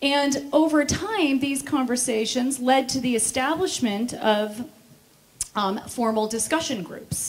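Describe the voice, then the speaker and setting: This woman speaks with an American accent in a high pitch. Her pace is fairly slow. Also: ordinary pitch variation. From United States. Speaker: speaker on veganism; speaker. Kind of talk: conference talk. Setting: stage with audience. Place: stage. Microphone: handheld.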